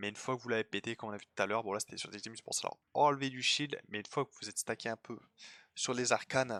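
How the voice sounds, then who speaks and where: Bright and sharp in tone, a man talks very fast with fairly even intonation. The recording is very clean and dry, close-miked with no echo and a silent background. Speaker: gaming youtuber. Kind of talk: gameplay commentary. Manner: casual, filler-heavy.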